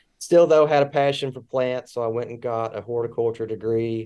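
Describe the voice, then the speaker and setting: Against a quiet background, a man speaks at a moderate pace. His dark, mellow voice keeps fairly even intonation. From Kentucky. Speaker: distiller. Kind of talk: casual interview. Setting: video call from his office. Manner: laid-back.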